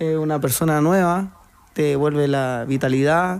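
A man speaks at a very slow pace with a fairly high pitch and a dark, mellow tone. His intonation is fairly even, and the background is quiet. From Chile, Santiago area (Puente Alto); Chile. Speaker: transplant footballer; guest. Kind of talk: radio interview. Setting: radio studio. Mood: warm, reflective. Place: studio. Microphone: studio mic.

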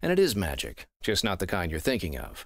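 Over a quiet background, a man talks at a moderate pace in a very deep, low voice with vocal fry, the sound dry with no echo. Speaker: voice actor. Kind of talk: casual talk to camera. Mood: calm, slightly mysterious. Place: studio.

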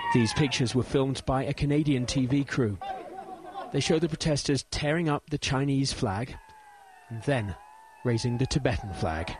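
Amid crowd noise in the background, a man speaks with long, frequent pauses. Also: medium pitch for a man, ordinary pitch variation, moderate pace. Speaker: foreign news correspondent. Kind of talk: field news report narrated over footage. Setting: on location in remote western China. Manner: measured, atmospheric storytelling delivery.

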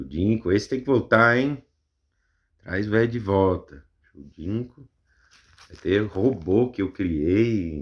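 Against a quiet background, a man with a fairly low voice speaks at a very slow pace with lively intonation, big swings in loudness, and long, frequent pauses. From Brazil. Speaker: YouTuber. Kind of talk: casual show-and-tell commentary. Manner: animated, exclamatory, laughing. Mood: amused, self-mocking. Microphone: phone near.

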